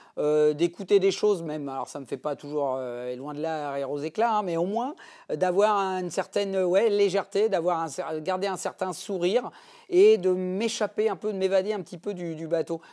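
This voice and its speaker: On a very clean recording with a silent background, a man with a high pitch and a dark, mellow tone talks at a moderate pace. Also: ordinary pitch variation. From Normandy, France. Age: 50s. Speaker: offshore racing sailor. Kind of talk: interview answer. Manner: hesitant, many fillers.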